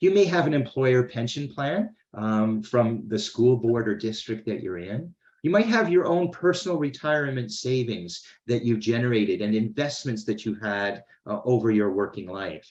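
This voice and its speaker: At a moderate pace, a man with a Canadian accent uses a normal speaking voice at medium pitch with lively intonation. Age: 60s. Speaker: financial educator. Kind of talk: webinar presentation. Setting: online webinar.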